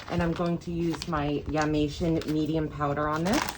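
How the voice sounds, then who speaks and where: A woman is talking. There is noticeable background noise. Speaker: crafting YouTuber. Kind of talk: tutorial.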